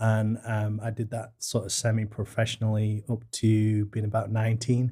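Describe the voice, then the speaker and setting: A man speaks at a moderate pace with a British accent. The recording is very clean, with a silent background. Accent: British, noticeable. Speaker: small business co-owner, former engineer. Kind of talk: interview podcast.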